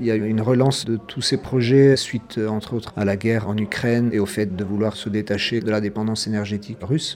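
Pausing hardly at all, a man speaks at a fairly quick pace in a flat monotone. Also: fairly low pitch for a man. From central Italy. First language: Italian (speaking French). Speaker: association organizer. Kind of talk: radio interview.

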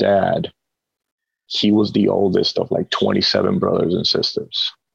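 In a Spanish accent, a man speaks at a very slow pace, the sound dry and close with no echo. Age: 30s. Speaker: jiu jitsu gym owner. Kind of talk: casual interview chat. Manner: conversational, hesitant with repeated words.

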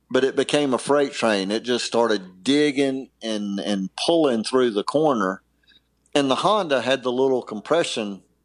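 This man has a medium pitch and an unremarkable speaking voice, talking at a moderate pace with lively intonation. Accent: American. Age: 50s. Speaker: former motocross racer. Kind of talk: casual interview. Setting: podcast interview.

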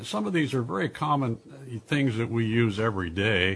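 Somewhat breathy, a man's medium-pitched voice moves at a moderate pace with lively intonation. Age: 70s. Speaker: radio show host and health author. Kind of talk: interview and health talk.

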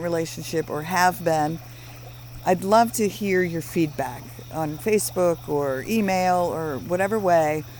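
Over noticeable background noise, a woman with a fairly low pitch speaks at a moderate pace with lively intonation. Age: 50s. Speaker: podcast co-host, former mental health worker. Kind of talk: casual chat. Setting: outdoors by a fire.

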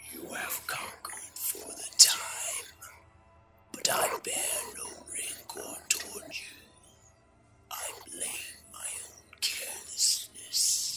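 A resonant, whispering put-on character voice at a very slow pace. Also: man. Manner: calm, magnanimous.

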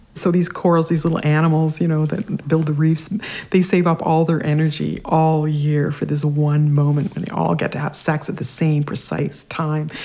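Over noticeable background noise, a woman with a very deep, low voice and a Canadian accent speaks at a moderate pace in a monotone, flat intonation. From Canada, Regina, Saskatchewan. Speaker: science writer. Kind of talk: interview.

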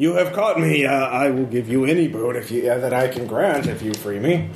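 A man puts on a robotic character voice at a medium pitch. Background noise is clearly audible. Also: moderate pace.

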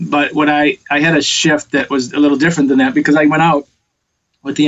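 This man has an American accent. He talks at a fairly quick pace. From US Midwest, Detroit. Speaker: film and music producer. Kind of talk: interview. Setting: video call. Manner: halting.

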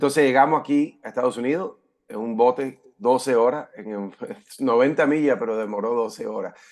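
A man with a normal speaking voice talks at medium pitch. His pace is moderate, with ordinary pitch variation. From California (born in Havana, Cuba). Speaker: entrepreneur and author. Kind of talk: interview.

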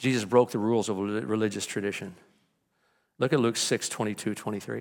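The recording is very clean with a silent background. On it, a man talks at a very fast pace. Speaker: pastor. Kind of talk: sermon. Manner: energetic, moves around.

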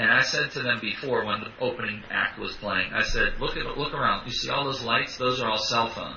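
A man with an American accent, at a fairly quick pace with hardly any pauses, over noticeable background noise. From US, western Pennsylvania (Pittsburgh area). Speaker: public speaker trainer. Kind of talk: casual interview. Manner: animated.

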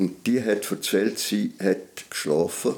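A man talks at a very slow pace. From Switzerland, Graubünden mountain village. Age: 80s. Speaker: retired journalist. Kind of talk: interview recollection.

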